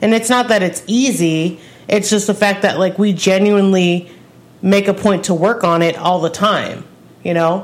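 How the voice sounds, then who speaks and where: A normal speaking voice, a woman's, medium in pitch, at a moderate pace with fairly even intonation and very even loudness. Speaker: music review podcast co-host. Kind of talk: casual chat.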